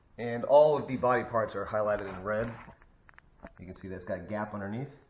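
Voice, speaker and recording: Fairly low male voice at a fairly quick pace, ordinary pitch variation, and audible room echo. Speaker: car enthusiast vlogger. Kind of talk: car walkaround tutorial. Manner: casual, with fillers.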